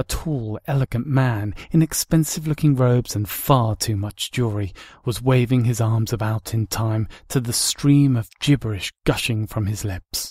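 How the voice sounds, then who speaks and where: A man speaks at a moderate pace at medium pitch, somewhat breathy, with ordinary pitch variation. The sound is dry and close with no echo, and the recording is very clean against a silent background. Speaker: audiobook narrator. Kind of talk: audiobook fan reading.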